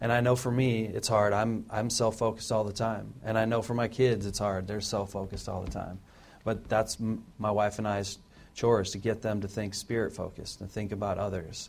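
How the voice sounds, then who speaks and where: A man speaks at a fairly quick pace and a fairly low pitch. His intonation is monotone and flat. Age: 40s. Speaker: church deacon. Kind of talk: offering message.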